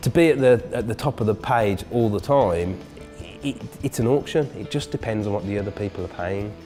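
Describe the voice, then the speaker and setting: Over music in the background, a man with a fairly low pitch talks at a fairly quick pace with lively intonation. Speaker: search marketing business owner. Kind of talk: interview answer.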